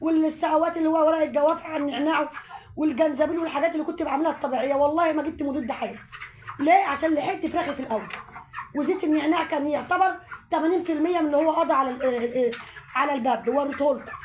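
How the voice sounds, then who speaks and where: A woman's high voice, very fast pace, fairly even intonation and noticeable background noise. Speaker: home poultry vlogger. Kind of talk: tutorial.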